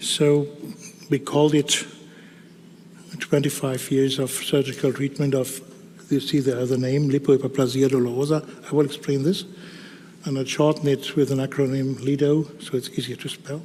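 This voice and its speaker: A man with a German accent speaks at a moderate pace in a fairly high, monotone voice with flat intonation and long, frequent pauses. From Germany. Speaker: dermatologist. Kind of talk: conference talk. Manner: halting.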